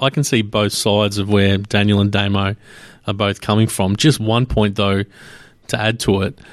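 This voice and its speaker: A fairly low-pitched man at a moderate pace, with monotone, flat intonation and very even loudness. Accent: Australian. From Australia. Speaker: sports podcast host. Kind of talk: casual chat. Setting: studio, hosts in same room.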